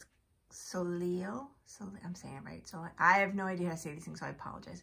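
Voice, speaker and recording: The woman's voice sits fairly low, with a bright, sharp tone and vocal fry. Her pitch varies in an ordinary way. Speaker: beauty product reviewer. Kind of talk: casual unboxing chat to camera. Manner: casual, hesitant with fillers. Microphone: phone near.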